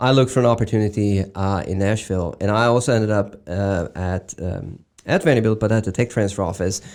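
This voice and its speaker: On a very clean recording with a silent background, a man with a Swedish accent speaks in a fairly low voice at a fairly quick pace, with hardly any pauses and ordinary pitch variation. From Sweden. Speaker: medical device executive. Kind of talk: interview. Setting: studio. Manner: halting, many fillers.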